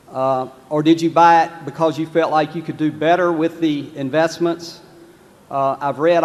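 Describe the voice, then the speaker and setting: Man with a Southern US accent, fairly high pitch and monotone, flat intonation, amid noticeable background noise. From North Carolina, US South. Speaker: shareholder asking a question. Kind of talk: audience question. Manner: halting, repeating himself.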